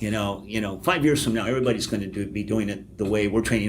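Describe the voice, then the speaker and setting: Audible room echo surrounds a man's fairly low voice. His pitch varies in an ordinary way. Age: 60s. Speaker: public relations professor. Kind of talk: podcast interview.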